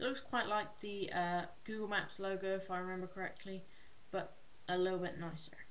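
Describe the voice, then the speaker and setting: Talking at a fairly quick pace in a monotone, flat intonation, a woman is heard with audible room echo and noticeable background noise. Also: medium pitch for a woman. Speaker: tech YouTuber. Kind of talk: tech review video. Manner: hesitant, many filler words.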